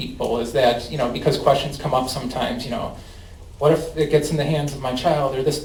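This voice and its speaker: A man with a Chicago accent talks at a fairly quick pace. The room echo is audible, and there is noticeable background noise. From US Midwest, Chicago. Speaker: cannabis company outreach representative. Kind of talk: presentation and audience Q&A. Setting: public meeting with audience.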